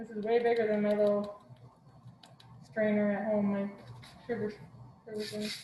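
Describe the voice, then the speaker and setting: A woman with a fairly high pitch, monotone, flat intonation, a moderate pace, long, frequent pauses and audible room echo. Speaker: cooking class instructor. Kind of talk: online cooking class demonstration. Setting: video call class from a kitchen. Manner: casual, hesitant with fillers. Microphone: mic may be muffled by mask.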